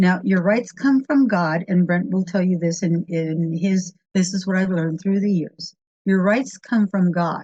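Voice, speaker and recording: The voice is somewhat breathy, with an American accent and a moderate pace. The sound is dry and close, with no echo. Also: woman. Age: 70s. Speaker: radio producer. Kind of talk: interview.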